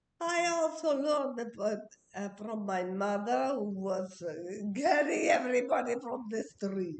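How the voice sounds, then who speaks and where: Fairly high female voice with very wide pitch swings and audible room echo. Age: 80s+. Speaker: interviewee, host's mother. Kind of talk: casual chat. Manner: halting.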